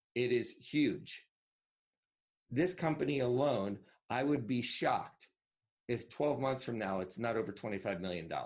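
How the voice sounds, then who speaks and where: A man with an American accent speaks at a fairly slow pace. His voice is medium-pitched with ordinary pitch variation. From Northwest New Jersey, US. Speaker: digital marketing entrepreneur. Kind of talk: interview.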